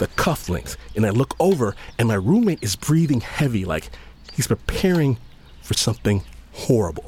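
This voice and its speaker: Over noticeable background noise, a man at a medium pitch speaks at a moderate pace in an animated, playful tone with very wide pitch swings. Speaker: storyteller. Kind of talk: storytelling, personal anecdote told in first person with comic asides and laughter. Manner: animated, wry and playful, voicing other characters in dialogue; conversational, casual slang, humorous and self-mocking.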